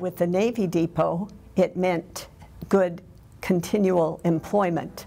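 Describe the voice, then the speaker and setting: A woman with a Midwestern US accent speaks in a fairly low pitch with monotone, flat intonation. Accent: US Midwest. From Nebraska. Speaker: local resident recalling history. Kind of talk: documentary interview.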